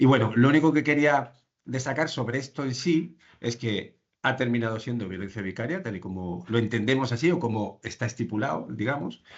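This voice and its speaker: This man's pitch is medium with ordinary variation as he talks at a fairly quick pace. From Andalusia, Spain. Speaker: social care professional presenting a case. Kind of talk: professional presentation in online training session. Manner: fast; halting, many fillers and restarts.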